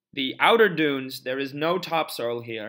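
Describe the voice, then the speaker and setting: An ordinary speaking voice, this man's is fairly high, with ordinary pitch variation and a fairly slow pace. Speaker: lecturer. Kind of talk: lecture.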